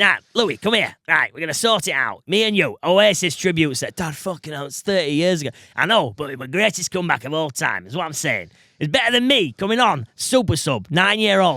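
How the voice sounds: In a put-on character voice, a man speaks at a fairly quick pace with few pauses, using a fairly high pitch, big pitch swings and a bright, sharp tone.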